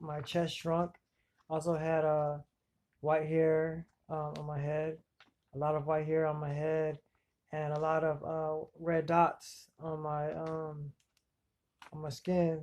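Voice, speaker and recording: A man talks at a very slow pace, with long, frequent pauses. His fairly high voice stays monotone and flat. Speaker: self-described victim of electronic harassment. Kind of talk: personal testimony to camera. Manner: halting, many fillers.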